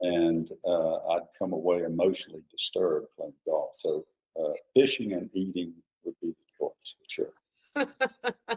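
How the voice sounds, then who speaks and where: In a dry, close recording with no echo, a man talks at a fairly slow pace with a Southern US accent. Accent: Southern American. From Georgia, US South (Milledgeville). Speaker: political candidate. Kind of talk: casual interview chat. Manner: hesitant, with fillers.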